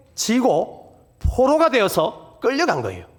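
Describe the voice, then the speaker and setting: A man speaks in a Busan accent at an extremely high pitch. His intonation is lively. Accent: Gyeongsang (Busan) dialect, self-described. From Busan, South Korea. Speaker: guest pastor at revival meeting. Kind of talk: sermon.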